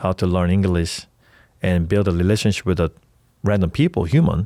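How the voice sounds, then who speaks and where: With a Korean accent, a man speaks in a very deep, low pitch and a dark, mellow tone, keeping his intonation fairly even in a very clean recording with a silent background. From South Korea (Seoul). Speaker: startup founder, health tech entrepreneur. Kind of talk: podcast interview. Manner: halting, with self-corrections.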